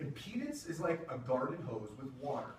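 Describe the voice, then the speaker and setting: Noticeable background noise sits under the moderately paced speech. Room echo is audible. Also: man. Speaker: music technology presenter. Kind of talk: lecture. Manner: casual, conversational.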